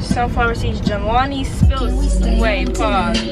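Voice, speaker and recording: A woman with loud background noise. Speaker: vlogger. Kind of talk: casual vlog chat. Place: car. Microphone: phone near.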